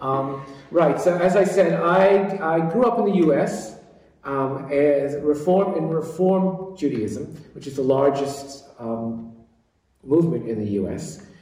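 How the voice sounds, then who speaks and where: A man with an American accent speaks at a very slow pace in a fairly high pitch, with lively intonation and big swings in loudness. Audible room echo surrounds his voice. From US East Coast. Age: 60s. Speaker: interfaith network founder. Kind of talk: interview. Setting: office.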